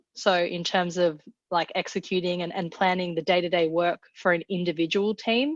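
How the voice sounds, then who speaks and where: Heard in a dry, close sound with no echo and a quiet background, a woman with an Australian accent speaks at a medium pitch and moderate pace. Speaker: product manager. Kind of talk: webinar presentation. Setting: online webinar.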